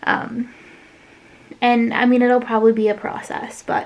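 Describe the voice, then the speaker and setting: High pitch from a woman. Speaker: craft YouTuber. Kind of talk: casual vlog chat. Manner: fast; hesitant, many fillers.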